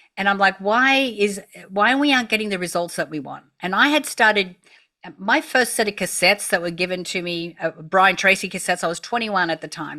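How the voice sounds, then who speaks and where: Speaking with an Australian accent, a woman uses a bright, sharp tone, lively intonation and a medium pitch. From Australia, country town. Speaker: entrepreneur. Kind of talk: interview. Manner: animated.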